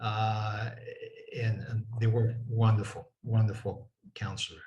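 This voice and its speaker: Very slowly, a man talks in a dark, mellow tone that is somewhat breathy, with monotone, flat intonation. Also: medium pitch for a man. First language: French. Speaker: former church bishop. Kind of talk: interview reminiscence.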